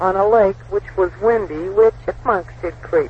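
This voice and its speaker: A man talking fairly slowly over noticeable background noise. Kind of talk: rhyming poem reading aloud, travel diary verse. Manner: sing-song, rhythmic rhyme delivery, light and playful; casual, chatty, with fillers and asides.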